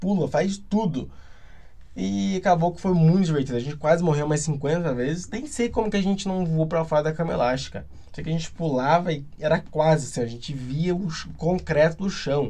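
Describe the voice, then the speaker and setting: Intonation here is lively, over a dark, mellow tone. Delivery is fairly quick. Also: man. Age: 20s. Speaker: podcaster. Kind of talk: casual solo monologue.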